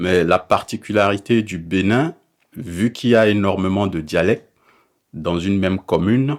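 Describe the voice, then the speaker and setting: A man's fairly low-pitched voice at a moderate pace, with ordinary pitch variation. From Benin. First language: a Beninese language (speaking French). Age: 30s. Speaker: interviewee. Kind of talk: interview.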